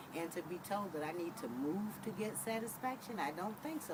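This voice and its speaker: Noticeable background noise and audible room echo accompany a woman who speaks at a moderate pace with lively intonation. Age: 60s. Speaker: resident interviewee. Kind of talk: interview testimony.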